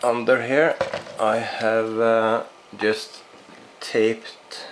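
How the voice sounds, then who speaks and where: Speech at a very slow pace, with noticeable background noise. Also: man. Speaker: RC hobbyist reviewer. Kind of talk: product review. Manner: halting, many fillers.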